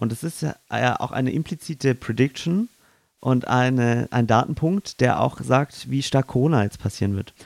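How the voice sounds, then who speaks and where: Recorded very cleanly against a silent background, a man at a medium pitch speaks with ordinary pitch variation in a dry, close sound with no echo. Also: moderate pace. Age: young. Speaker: podcast co-host, amateur stage actor. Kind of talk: casual chat; voice tips tutorial. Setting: in-person studio, facing co-host. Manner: clearly articulated.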